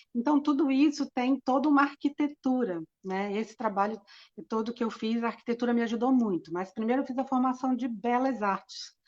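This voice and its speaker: The recording has a dry, close sound with no echo as a woman talks in a high pitch. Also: ordinary pitch variation, fairly quick pace. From Brazil, Rio de Janeiro. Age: 60s. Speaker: architect and cultural association president. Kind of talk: interview. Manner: hesitant, many fillers.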